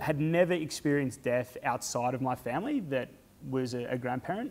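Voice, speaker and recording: Here a man talks at a fairly quick pace in an Australian accent. His pitch variation is ordinary. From Australia, rural Victoria (Stawell). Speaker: charity fundraiser and speaker. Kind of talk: personal talk to an audience. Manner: halting, many fillers.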